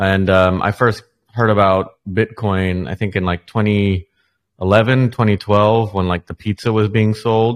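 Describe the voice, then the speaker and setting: In a very clean recording with a silent background and a dry, close sound with no echo, a man with a fairly low pitch speaks at a very slow pace in a monotone, flat intonation, with hardly any pauses. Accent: American. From United States. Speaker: NFT creator. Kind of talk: interview. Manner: halting.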